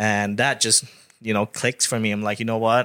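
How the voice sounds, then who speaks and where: A man with a Thai accent speaks at a fairly slow pace, his tone bright and sharp and his intonation fairly even. The recording is very clean with a silent background, and the sound is dry and close with no echo. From Thailand (Bangkok). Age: 30s. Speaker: real estate agent. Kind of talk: interview.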